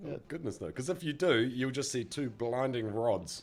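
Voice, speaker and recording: This man talks at a moderate pace with medium pitch. His voice has vocal fry. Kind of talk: casual podcast conversation.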